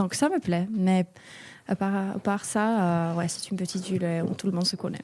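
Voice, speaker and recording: A woman speaks in a Finnish accent at a moderate pace, her medium-pitched voice keeping a fairly even intonation. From Finland, small town north of Helsinki. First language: Finnish (speaking French). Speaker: European volunteer. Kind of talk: interview. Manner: halting, hesitant.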